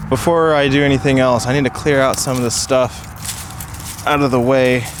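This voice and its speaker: A man's medium-pitched voice at a moderate pace, very even in loudness and fairly even in intonation, with long, frequent pauses and noticeable background noise. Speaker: outdoor vlogger. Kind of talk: casual vlog narration. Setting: outdoors on a hilltop. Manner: quiet, hushed.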